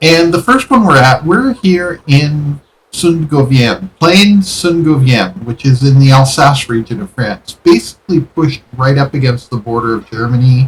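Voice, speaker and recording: A somewhat breathy man with a fairly high pitch talks with lively intonation and hardly any pauses. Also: moderate pace. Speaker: gaming YouTuber. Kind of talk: game commentary. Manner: casual.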